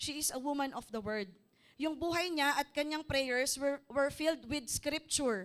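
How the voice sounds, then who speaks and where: Moderate pace, ordinary pitch variation and big swings in loudness. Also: woman, high pitch for a woman. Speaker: preacher. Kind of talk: sermon. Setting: church service.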